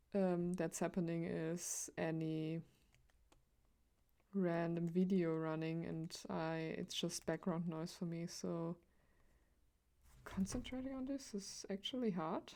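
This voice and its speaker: With a non-native accent, a woman speaks at a very slow pace, leaving long, frequent pauses. Her fairly low voice is dark and mellow in tone, with ordinary pitch variation. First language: not English. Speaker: streamer, digital artist. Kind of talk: casual live-stream chat while drawing. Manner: halting, many fillers.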